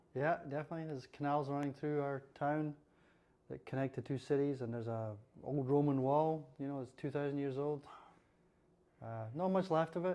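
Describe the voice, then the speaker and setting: With a Scottish accent and a dark, mellow tone, a man speaks at a fairly quick pace with fairly even intonation and long, frequent pauses. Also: fairly high pitch for a man. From central Scotland, near Falkirk. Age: 60s. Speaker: lighting designer. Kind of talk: interview. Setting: podcast.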